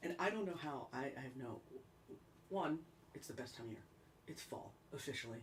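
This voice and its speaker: A woman with an American accent, very deep and low in pitch, with ordinary pitch variation at a fairly quick pace. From upstate New York. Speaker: singer-songwriter livestream host. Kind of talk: casual livestream chat. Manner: chatty. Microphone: mic problems, sound too low.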